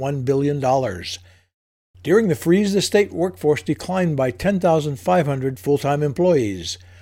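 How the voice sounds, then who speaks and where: A man speaks at a moderate pace in a fairly high pitch, his intonation lively and his tone dark and mellow. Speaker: radio newsreader. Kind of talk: radio news bulletin read from a script. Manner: formal, measured, even-paced; neutral and matter-of-fact, with little emotion.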